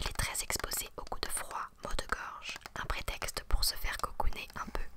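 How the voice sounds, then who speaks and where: Noticeable background noise fills the recording. Through it, a woman is whispering at a moderate pace. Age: 20s. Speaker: ASMR creator. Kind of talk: ASMR astrology reading. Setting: home studio microphone. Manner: whispered, soft.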